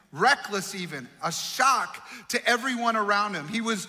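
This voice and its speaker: A man speaks in a raised, projected voice. His pitch is high. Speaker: pastor. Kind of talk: sermon.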